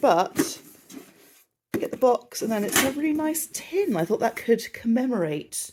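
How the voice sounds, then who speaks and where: The woman's pitch swings very widely. Her voice is somewhat breathy. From southern England. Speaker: travel vlogger. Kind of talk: casual vlog. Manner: chatty.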